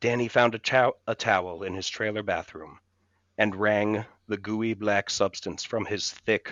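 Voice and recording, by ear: The text is read aloud in a natural voice. Intonation stays fairly even over a quiet background.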